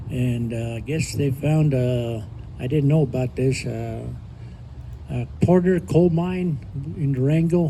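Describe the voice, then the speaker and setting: A man talks at a medium pitch and a moderate pace with ordinary pitch variation. Noticeable background noise is present. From northern New Mexico. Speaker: community elder telling life story. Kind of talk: personal testimony to a live audience. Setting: live event with audience, no microphone. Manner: loud; halting with fillers. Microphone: speaking without a microphone.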